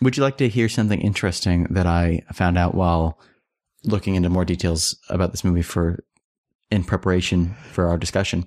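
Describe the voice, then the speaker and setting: A man's very deep, low voice with an American accent, fairly quick pace, ordinary pitch variation, and very even loudness, on a very clean, dry, close recording with no echo and a silent background. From United States. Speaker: podcast co-host. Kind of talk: casual chat.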